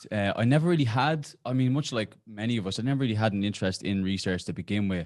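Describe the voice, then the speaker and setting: A man races along at a very fast pace with lively intonation in a very clean recording with a silent background. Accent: Irish. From Ireland. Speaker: exercise oncology researcher, professor. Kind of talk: podcast interview. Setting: podcast recording.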